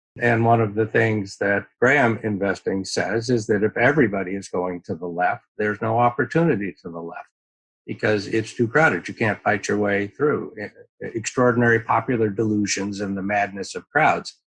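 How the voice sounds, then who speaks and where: A man with a plain, everyday voice, fairly low in pitch, with ordinary pitch variation at a moderate pace. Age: 60s. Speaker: venture capital investor. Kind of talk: interview.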